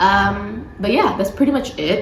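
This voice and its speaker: The speaker's tone is relaxed. Background noise is noticeable. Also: woman. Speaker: book content creator. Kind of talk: casual talk to camera. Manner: relaxed, chatty.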